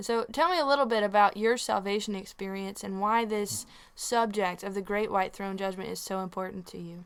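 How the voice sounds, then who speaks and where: A woman with a Southern US accent speaks at a fairly quick pace, her medium pitch moving with ordinary variation. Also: hardly any pauses. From Tennessee. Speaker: radio host and singer-songwriter. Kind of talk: radio interview.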